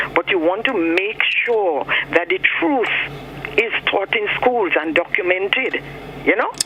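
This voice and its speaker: A man talks in a high pitch with ordinary pitch variation. Noticeable background noise sits behind him. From Grenada. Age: 60s. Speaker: caller. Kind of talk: phone-in call. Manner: animated.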